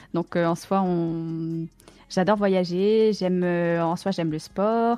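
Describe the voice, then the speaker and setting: A woman's dark, mellow voice, fairly low in pitch, at a very slow pace with fairly even intonation. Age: 20s. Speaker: streamer and esports player. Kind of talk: casual chat.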